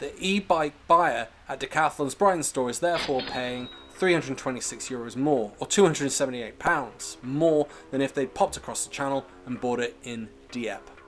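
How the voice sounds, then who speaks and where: With a British accent, a man talks at a moderate pace in a fairly high pitch, his intonation lively and his loudness swinging widely over music in the background. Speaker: political commentary youtuber. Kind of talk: political commentary narration.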